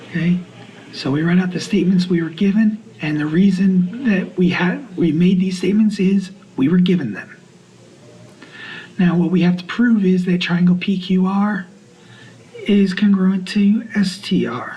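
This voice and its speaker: Soft-spoken and high-pitched, a man talks at a moderate pace with fairly even intonation and long, frequent pauses, amid audible room echo and noticeable background noise. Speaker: math teacher. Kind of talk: lecture. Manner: halting.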